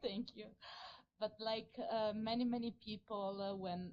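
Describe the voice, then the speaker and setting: A woman speaks with an Italian accent. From Italy. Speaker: audience member. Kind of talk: audience question. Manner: halting.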